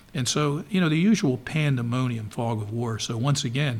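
A man with an American accent speaks at a moderate pace in a medium pitch. His voice is somewhat breathy, with ordinary pitch variation. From Baltimore, Maryland (Dundalk). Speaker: retired naval intelligence officer. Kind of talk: interview.

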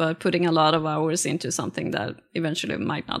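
A woman with a Swedish accent speaks at a fairly quick pace, her fairly low voice carrying some vocal fry. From rural Sweden. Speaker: artist. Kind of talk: interview conversation. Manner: halting, many fillers.

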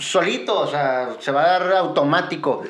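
A man talks at a fairly slow pace with ordinary pitch variation. Audible room echo and noticeable background noise surround him. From Mexico, Guadalajara. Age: 40s. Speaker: business owner. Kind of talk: casual chat.

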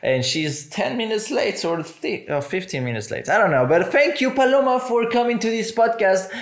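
Over noticeable background noise, a man with a Spanish accent talks with hardly any pauses, his high voice making very wide pitch swings. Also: moderate pace. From Mexico. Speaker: podcast host. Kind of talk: casual chat.

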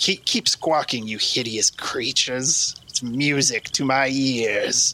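Putting on a character voice, a man cackles at a medium pitch, talking at a fairly slow pace with hardly any pauses. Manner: cackling, gleeful.

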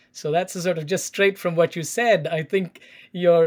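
The recording is very clean, with a silent background. A man speaks with an Indian accent. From South India, Chennai. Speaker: education scholar and teacher. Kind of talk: interview, explanatory. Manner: halting, many fillers.

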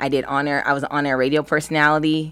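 A woman with an American accent speaks at a very fast pace in a very deep, low voice, on a very clean recording with a silent background. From US West Coast, Los Angeles County. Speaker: actress and entrepreneur. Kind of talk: casual interview chat. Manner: animated.

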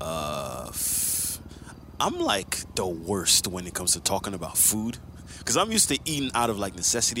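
Moderate-paced speech from a man, with noticeable background noise. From Quebec. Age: 30s. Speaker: podcast co-host, former rapper. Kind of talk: casual chat.

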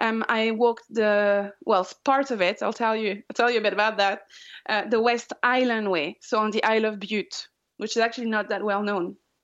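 Speaking at a moderate pace, a woman with a French accent uses a fairly high pitch and fairly even intonation. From France, Pyrenees. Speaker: long-distance hiker. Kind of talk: interview.

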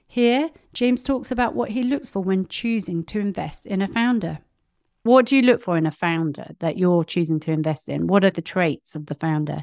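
A woman with a British accent talks at a moderate pace and medium pitch, her voice making very wide pitch swings. The recording is very clean, with a silent background and a dry, close sound with no echo. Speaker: podcast host. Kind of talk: podcast recap with ad read.

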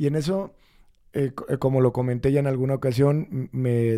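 Pitch varies in an ordinary way over a dark, mellow tone. The recording is very clean, and the background is silent. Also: man. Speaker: spiritual teacher and ceremony center founder. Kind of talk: spiritual teaching podcast talk. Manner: hesitant, repeats words, many fillers.

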